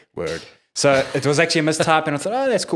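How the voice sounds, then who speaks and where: With a South African accent, a man talks at a very fast pace in a fairly high voice with vocal fry and lively intonation, in a very clean recording with a silent background. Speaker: independent musician. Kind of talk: casual interview chat. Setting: studio with crew in room. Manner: halting, many fillers.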